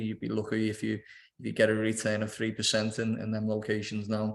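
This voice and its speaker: In a Liverpool accent, a man talks at a fairly quick pace and a fairly low pitch. The background is quiet. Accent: Scouse (Liverpool). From Liverpool, England. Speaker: property developer. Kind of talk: investment webinar presentation. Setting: video call webinar.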